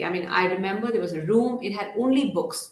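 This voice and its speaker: Lively intonation from a woman, with audible room echo around it. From Kashmir, Srinagar; later Delhi. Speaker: author. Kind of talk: interview. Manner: hesitant, many fillers.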